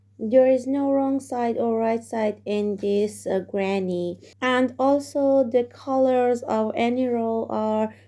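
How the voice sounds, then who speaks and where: With a non-native accent, a woman speaks at a very slow pace in a fairly high pitch, her tone dark and mellow and her intonation fairly even. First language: not English. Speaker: crochet tutorial maker. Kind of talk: crochet tutorial instruction.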